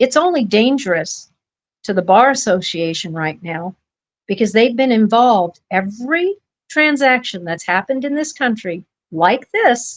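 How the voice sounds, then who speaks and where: A woman speaks at a fairly slow pace in an animated tone. Her high voice swings very widely in pitch. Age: 60s. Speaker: podcast host and family rights activist. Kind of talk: casual podcast talk.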